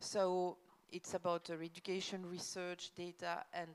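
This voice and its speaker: With a French accent, a woman speaks at a moderate pace in a fairly low pitch with monotone, flat intonation. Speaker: government official. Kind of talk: conference presentation. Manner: hesitant, many fillers.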